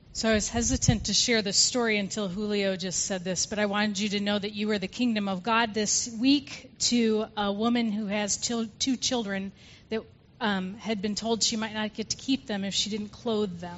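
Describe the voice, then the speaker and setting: A woman's somewhat breathy voice, fairly high in pitch, with fairly even intonation and a moderate pace. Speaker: pastor. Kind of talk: church service, prayer. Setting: church.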